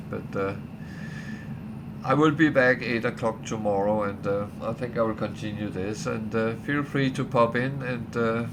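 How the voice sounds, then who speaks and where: A man at a medium pitch speaks with lively intonation, with audible room echo and noticeable background noise. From Denmark. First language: Danish. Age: old. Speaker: gaming streamer. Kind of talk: casual livestream chat. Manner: hesitant, many fillers.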